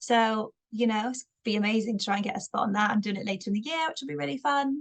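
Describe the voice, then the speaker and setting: A woman with a slight Bristolian accent talks at a very fast pace and fairly high pitch, her intonation lively and the sound dry and close with no echo. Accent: slight Bristolian twang. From Bristol, England. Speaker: stand-up comedian. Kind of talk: podcast interview.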